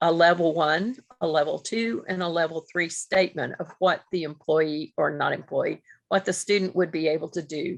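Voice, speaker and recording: At a moderate pace, a woman uses a normal speaking voice with a fairly low pitch and ordinary pitch variation. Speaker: grant principal investigator presenting. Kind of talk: webinar presentation.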